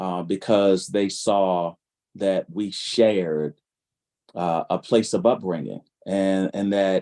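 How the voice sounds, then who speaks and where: Very slow, fairly even speech with an American accent, a dark, mellow tone, dry, close sound with no echo and a quiet background. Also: man, fairly low pitch for a man. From Baltimore, Maryland (East Baltimore). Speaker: clinician and pastor. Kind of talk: panel discussion.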